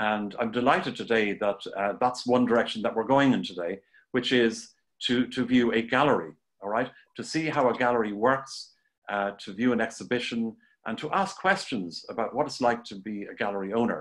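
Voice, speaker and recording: A man with an Irish accent at a moderate pace, quiet background. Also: ordinary pitch variation. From Ireland. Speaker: art teacher and show host. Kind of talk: live-streamed interview. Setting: Facebook Live video stream. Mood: warm, enthusiastic. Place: home room. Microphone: video call.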